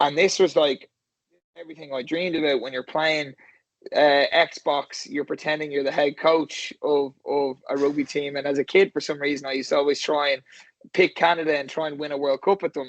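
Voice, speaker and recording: Dry and close with no echo, the recording captures a man with an Irish accent speaking in a fairly high pitch with fairly even intonation. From Ireland, Skerries near Dublin. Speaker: rugby coach. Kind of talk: interview. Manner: halting, many repeated words.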